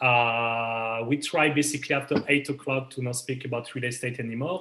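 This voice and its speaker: Medium-pitched male voice in a French accent, moderate pace and ordinary pitch variation. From France. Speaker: realtor. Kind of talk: interview. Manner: halting.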